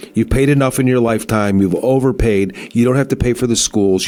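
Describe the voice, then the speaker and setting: A man talks at a very fast pace, his pitch medium with ordinary variation. Noticeable background noise runs under the recording. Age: 60s. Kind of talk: casual radio talk.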